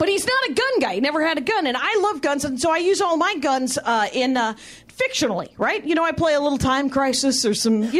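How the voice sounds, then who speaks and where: A woman with an American accent talks at a fairly quick pace in a high voice, with very wide pitch swings, very even loudness and hardly any pauses, over noticeable background noise. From Wisconsin, factory town outside Milwaukee. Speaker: comedian. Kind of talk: stand-up. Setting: stage with audience.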